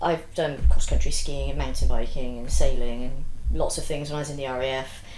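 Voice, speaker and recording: A woman with a British accent speaks at a fairly quick pace. Audible room echo and noticeable background noise surround her voice. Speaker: business founder and RAF veteran. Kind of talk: interview.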